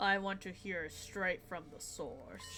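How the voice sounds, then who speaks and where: Against clear background noise, a female-sounding voice at a middle pitch uses a put-on character voice and speaks at a fairly slow pace. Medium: game stream. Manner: measured, disdainful.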